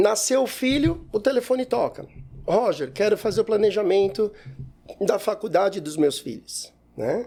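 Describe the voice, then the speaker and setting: A man with a high yet dark, mellow voice speaks at a fairly slow pace. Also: lively intonation. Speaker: economist, wealth planning advisor. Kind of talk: interview conversation.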